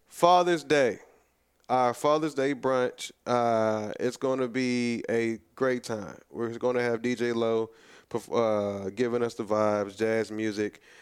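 Very slowly, a man with an American accent speaks at medium pitch with ordinary pitch variation. The recording is very clean, with a silent background. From Texas, Houston (Greens Point). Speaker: restaurant owner and event organizer. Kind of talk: radio interview.

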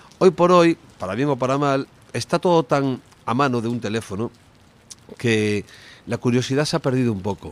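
With lively intonation, a moderate pace, and long, frequent pauses, the voice comes through in a dry, close sound with no echo. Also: man, medium pitch for a man. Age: 50s. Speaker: rock singer. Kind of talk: interview.

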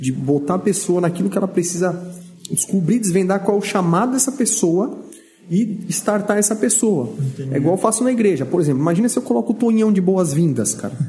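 Lively intonation and a fairly quick pace come through over noticeable background noise. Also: man, high pitch for a man. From Brazil, Vale do Ribeira (São Paulo state). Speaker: pastor. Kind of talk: casual chat. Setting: studio. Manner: animated.

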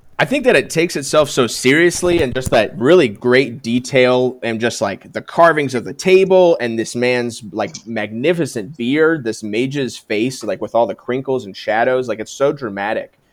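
At a moderate pace and with hardly any pauses, a man speaks in an animated tone at a medium pitch with ordinary pitch variation. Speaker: returning podcast guest. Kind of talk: casual chat. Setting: video call.

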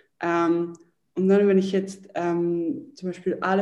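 This woman's voice has a dark, mellow tone. She talks at a moderate pace. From Switzerland, Zurich. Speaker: entrepreneur and yoga teacher. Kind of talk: interview.

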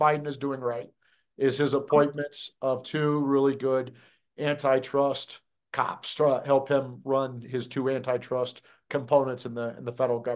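With an American accent, a man in an unremarkable speaking voice talks at a moderate pace, his pitch fairly high, against a quiet background. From US Midwest, Des Moines, Iowa. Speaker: conservative legal activist. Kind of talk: political interview.

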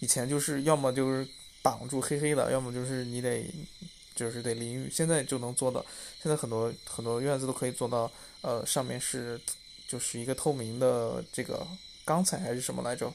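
With fairly even intonation, a man talks fairly quickly at a medium pitch. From rural China. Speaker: vlogger. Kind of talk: personal reflection monologue. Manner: halting, many fillers.

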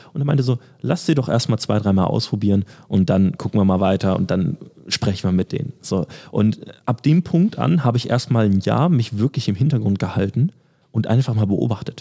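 Dark and mellow, a man's fairly low voice carries vocal fry and lively intonation at a fairly quick pace. His loudness stays very even, and the sound is dry and close with no echo. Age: 20s. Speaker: athletic trainer and podcast co-host. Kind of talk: casual chat.

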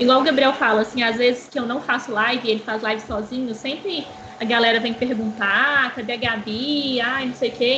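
Over noticeable background noise, a woman with a fairly high pitch speaks in a fairly even intonation. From Brazil, Belo Horizonte. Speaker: game streamer. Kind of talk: casual chat.

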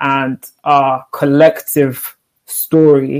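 A woman speaks with a very deep, low pitch. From Africa. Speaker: podcast host. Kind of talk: interview conversation.

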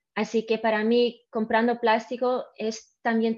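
The speaker has a non-native accent, heard against a quiet background. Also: woman. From Mallorca, Spain then abroad; Dutch-Swedish-Panamanian family. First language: not Spanish (speaking Spanish). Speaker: guest, ocean conservation interest. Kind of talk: casual interview. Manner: halting.

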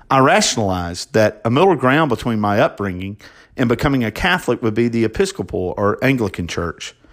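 Speaking with an American accent in a plain, everyday voice, at a fairly quick pace with lively intonation and very even loudness, this voice comes through on a very clean recording with a silent background. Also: man. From US South, Alabama. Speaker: deacon. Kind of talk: sermon; testimony.

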